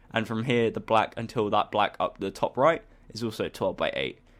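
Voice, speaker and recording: In a very clean recording with a silent background, a man with a normal speaking voice talks at a medium pitch and a fairly quick pace. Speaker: gaming tutorial creator. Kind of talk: tutorial.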